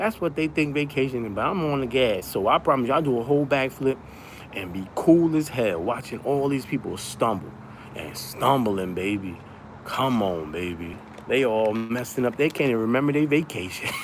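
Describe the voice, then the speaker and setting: A man talks at a moderate pace and medium pitch with lively intonation. Noticeable background noise runs underneath. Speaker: live streamer. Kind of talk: casual livestream chat. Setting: down the shore on vacation. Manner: loud.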